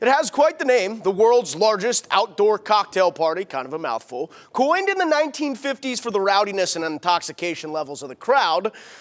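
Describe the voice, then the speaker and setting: Loud and passionate, a man speaks with energy at a fairly quick pace and high pitch, his voice swinging widely in pitch over noticeable background noise. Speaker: TV sports anchor and reporter. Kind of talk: TV sports anchor reel. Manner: passionate, loud, energetic.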